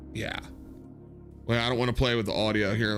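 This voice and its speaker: With music playing behind him, a man speaks very quickly. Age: 30s. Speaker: gaming streamer. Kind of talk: casual chat. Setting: live stream. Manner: animated.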